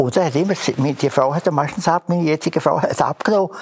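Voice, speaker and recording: A man's voice against noticeable background noise. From Graubünden, Switzerland (near Landquart). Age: 80s+. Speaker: contemporary witness, retired telecom worker. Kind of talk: oral history interview. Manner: halting.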